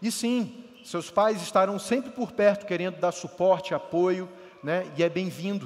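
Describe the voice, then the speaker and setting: Noticeable background noise sits behind the speaker. A man talks at a high pitch. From Rio de Janeiro state, Brazil. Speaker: pastor. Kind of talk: sermon.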